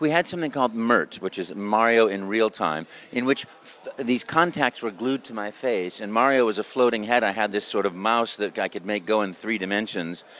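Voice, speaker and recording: A man talks at a moderate pace with hardly any pauses. His voice sits fairly low, with ordinary pitch variation. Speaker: voice actor. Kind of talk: interview answer. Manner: upbeat, enthusiastic.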